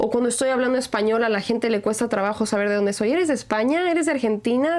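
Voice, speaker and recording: Amid noticeable background noise, a woman with a fairly high voice talks at a very fast pace with hardly any pauses, ordinary pitch variation and very even loudness. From Mexico. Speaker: podcast host. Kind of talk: casual chat.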